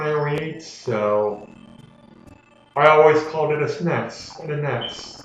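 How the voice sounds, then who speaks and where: A man at a very slow pace with ordinary pitch variation, plus audible room echo and noticeable background noise. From Canada. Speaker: gaming commentator. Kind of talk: let's play commentary. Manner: casual, rambling with fillers.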